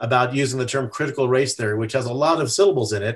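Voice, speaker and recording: A man with an American accent at a very fast pace, medium in pitch, with ordinary pitch variation. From USA. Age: 60s. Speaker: activist, religious freedom advocate. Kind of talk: podcast interview. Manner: halting, many fillers.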